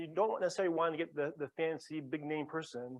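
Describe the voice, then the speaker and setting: High-pitched male voice. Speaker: psychiatrist mentoring graduate students. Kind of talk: interactive workshop talk. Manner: fast.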